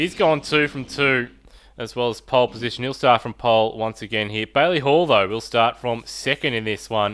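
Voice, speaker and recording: A man with an Australian accent speaks at a moderate pace and medium pitch, with ordinary pitch variation. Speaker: sim racing commentator. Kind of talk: live commentary. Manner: quiet.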